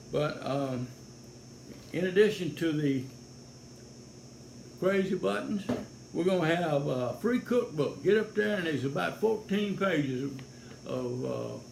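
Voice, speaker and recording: A man with a Louisiana accent speaks fairly slowly in a fairly high voice with very wide pitch swings and long, frequent pauses, and room echo can be heard. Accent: Louisiana Southern. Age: 70s. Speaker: sheriff's deputy and political candidate. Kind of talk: campaign video monologue. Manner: folksy, halting with fillers.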